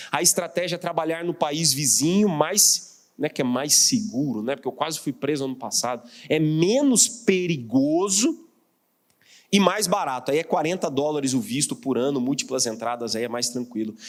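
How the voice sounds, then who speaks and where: With a Mato Grosso accent, a man talks at a moderate pace in a fairly high pitch with lively intonation. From Mato Grosso, Brazil. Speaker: pastor and missionary. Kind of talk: sermon. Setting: church.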